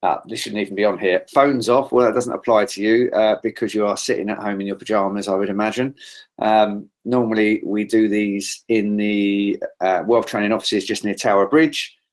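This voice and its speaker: A man with a British accent speaks at a moderate pace and fairly low pitch, with fairly even intonation and hardly any pauses. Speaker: trading trainer. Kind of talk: online trading seminar.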